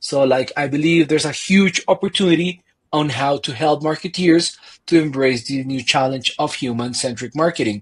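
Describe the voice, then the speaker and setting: A somewhat breathy man talks at a moderate pace. His pitch is fairly high, with ordinary variation. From Colombia. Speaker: marketing consultant. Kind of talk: podcast interview.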